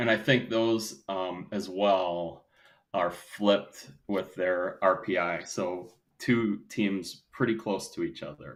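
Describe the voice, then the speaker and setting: A man with a Wisconsin accent speaks in a very deep, low voice with ordinary pitch variation. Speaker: volleyball podcast co-host. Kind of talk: casual discussion.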